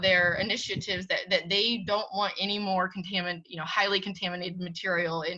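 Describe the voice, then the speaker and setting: The voice belongs to a woman speaking at a fairly quick pace. Noticeable background noise runs underneath. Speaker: commodity price reporter and editor. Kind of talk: webinar presentation. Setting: webinar. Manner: fast; animated.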